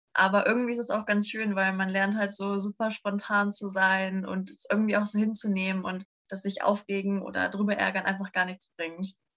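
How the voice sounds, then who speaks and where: A woman's medium-pitched, monotone voice with flat intonation, a fairly quick pace and hardly any pauses. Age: 20s. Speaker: bikepacking traveller. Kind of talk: casual chat.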